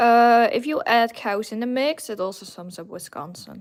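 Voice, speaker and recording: In a very clean recording with a silent background, a woman speaks with a Dutch accent and ordinary pitch variation. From Netherlands. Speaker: gaming streamer painting figures. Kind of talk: casual live stream chat.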